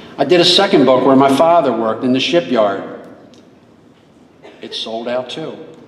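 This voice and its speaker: A man with lively intonation at a moderate pace, long and frequent pauses, audible room echo, and noticeable background noise. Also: medium pitch for a man, big swings in loudness. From Maryland, Baltimore area. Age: 70s. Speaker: local historian and author. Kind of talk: school assembly speech. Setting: school assembly hall with audience.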